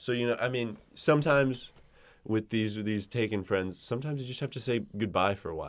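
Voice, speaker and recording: On a very clean recording with a silent background, a man talks fairly quickly in an unremarkable speaking voice, medium in pitch with ordinary pitch variation. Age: 30s. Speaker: podcast co-host. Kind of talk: casual chat.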